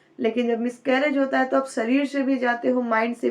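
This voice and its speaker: A high-pitched woman at a fairly slow pace, monotone and flat, against a quiet background. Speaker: YouTuber giving pregnancy advice. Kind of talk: casual vlog advice talk.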